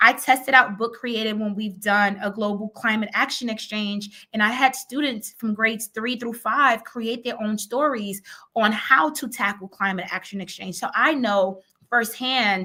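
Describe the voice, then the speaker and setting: A woman's bright, sharp voice, fairly high in pitch, at a fairly slow pace, on a very clean recording with a silent background. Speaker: educator and conference presenter. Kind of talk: virtual conference presentation.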